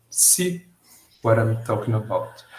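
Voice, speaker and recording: Speaking at a moderate pace, a man with a Brazilian Portuguese accent sounds somewhat breathy. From Brazil, São Paulo. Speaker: student presenter. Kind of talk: class presentation. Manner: halting.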